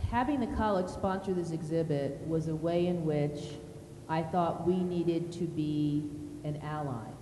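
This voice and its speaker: A woman talks at a fairly slow pace, and the room's echo can be heard around her. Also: fairly low pitch for a woman, ordinary pitch variation. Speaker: college dean and panel facilitator. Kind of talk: moderated panel discussion. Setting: art gallery with audience. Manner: loud.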